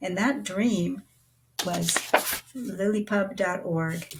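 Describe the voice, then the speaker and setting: This is a woman speaking. She talks at a very slow pace. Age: 70s. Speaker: retired programmer giving testimonial. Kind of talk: testimonial. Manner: halting.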